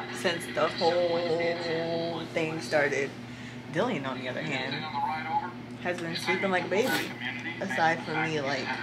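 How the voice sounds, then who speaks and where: A woman at a fairly slow pace with long, frequent pauses and ordinary pitch variation, over loud background noise. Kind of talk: casual vlog chat.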